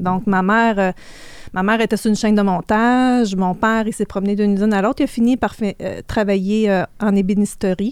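A woman speaks in a medium pitch at a moderate pace with fairly even intonation, on a very clean recording with a silent background. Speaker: financial services entrepreneur. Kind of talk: interview. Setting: studio.

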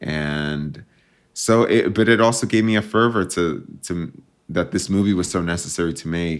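A man's very deep, low voice with an American accent, at a moderate pace and with ordinary pitch variation. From New Jersey, US (suburbs near New York City). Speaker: filmmaker and intersex activist. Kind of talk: interview.

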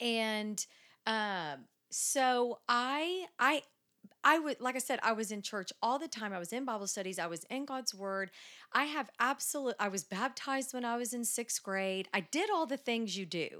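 A woman in a plain, everyday voice with an American accent, fairly high pitch, lively intonation and a moderate pace, on a very clean recording with a silent background. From Dallas, Texas. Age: 40s. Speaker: church member. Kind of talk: casual interview.

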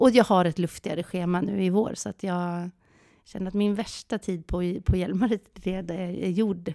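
Recorded very cleanly against a silent background, a woman of medium pitch speaks in a dark, mellow tone with a dry, close sound and no echo. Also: moderate pace. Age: 40s. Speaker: podcast co-host. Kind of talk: casual chat. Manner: animated.

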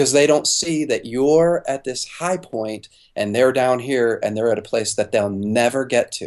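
A man speaks in an ordinary speaking voice at a medium pitch. His pace is fairly slow, and his pitch varies in an ordinary way. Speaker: pastor and author. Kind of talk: interview.

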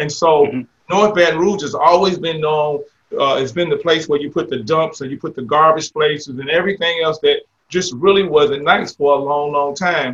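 With an unremarkable speaking voice, a man talks at a fairly high pitch that varies in an ordinary way. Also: moderate pace. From Jacksonville, Florida. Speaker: mayor and retired military veteran. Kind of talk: interview.

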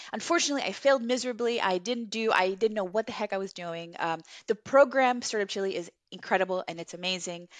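This woman speaks very fast at a medium pitch. Her pitch varies in an ordinary way. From Chile, raised in Los Angeles from age nine. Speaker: entrepreneur, co-founder of a beauty brand. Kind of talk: interview.

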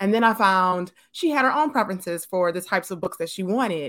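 This woman has a bright, sharp tone at a medium pitch with ordinary pitch variation. The recording is very clean, with a silent background. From Detroit, Michigan. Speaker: children's book author and illustrator. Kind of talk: interview.

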